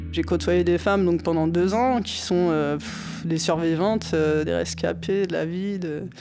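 A woman talks at a very slow pace with hardly any pauses. Noticeable background noise sits behind her. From Normandy, France. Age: 30s. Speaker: boxer, former prisoner. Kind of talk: testimony. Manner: hesitant.

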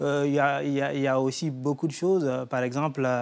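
On a very clean recording with a silent background, a man with a fairly high pitch speaks at a fairly slow pace. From Guinea. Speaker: poet and writer. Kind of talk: TV studio interview. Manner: hesitant, with fillers.

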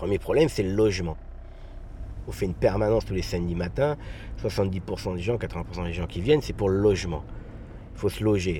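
This man has a very deep, low voice and lively intonation. He talks at a moderate pace with long, frequent pauses. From Garges-lès-Gonesse, Paris suburbs. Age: 40s. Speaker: local councillor. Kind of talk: interview. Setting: outdoors.

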